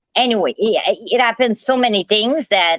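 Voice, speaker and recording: A woman's fairly high voice in a Quebec accent, at a fairly slow pace. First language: French. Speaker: live streamer. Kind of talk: casual live stream monologue. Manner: animated.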